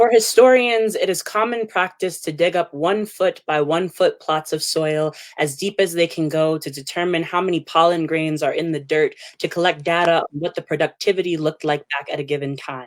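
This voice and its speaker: The speech moves at a moderate pace with hardly any pauses and ordinary pitch variation. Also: woman, fairly low pitch for a woman. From New Jersey. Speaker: poet. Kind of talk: spoken word poetry reading.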